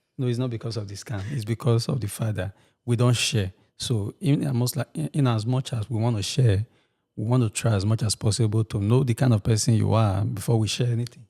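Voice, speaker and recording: A somewhat breathy voice with a dark, mellow tone and ordinary pitch variation at a fairly quick pace, on a very clean recording with a silent background and a dry, close sound with no echo. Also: man, medium pitch for a man. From Nigeria. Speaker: podcast co-host. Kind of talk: casual chat.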